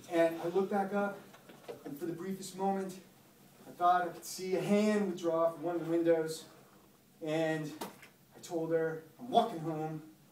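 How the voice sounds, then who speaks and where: A man speaks in a high-pitched voice. Light background noise and audible room echo accompany him. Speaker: teacher or guest speaker. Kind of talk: storytelling to a class. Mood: suspenseful ghost story. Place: classroom. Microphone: camera far.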